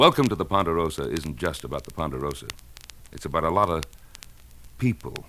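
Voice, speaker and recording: Using a very deep, low pitch and lively intonation, a man talks at a fairly quick pace broken by long, frequent pauses. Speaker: actor and singer. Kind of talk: radio promo spot.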